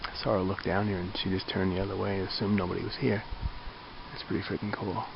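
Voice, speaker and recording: A man talks at a very fast pace in a fairly low, monotone, flat voice. Noticeable background noise and audible room echo surround him. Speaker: hiker vlogger. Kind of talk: outdoor vlog. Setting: outdoors at campsite. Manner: casual, conversational; quiet, hushed.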